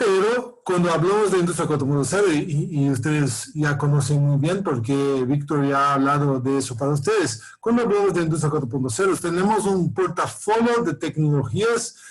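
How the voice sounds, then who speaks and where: In a room with audible echo, a man with a fairly high pitch talks at a moderate pace, his pitch swinging very widely. His loudness is very even, and he leaves hardly any pauses. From Brazil. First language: Portuguese (speaking Spanish). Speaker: professor. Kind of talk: lecture. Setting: video call. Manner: halting, many repetitions and fillers.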